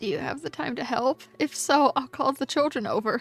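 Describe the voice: A woman's strained, high-pitched, put-on character voice at a fairly quick pace, with faint music in the background.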